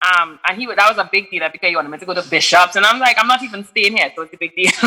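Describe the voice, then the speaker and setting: In an American accent, a woman speaks very fast at a medium pitch, with ordinary pitch variation and big swings in loudness. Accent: Trinidadian, switches with American. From Trinidad, then USA. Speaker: musician. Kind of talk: casual interview.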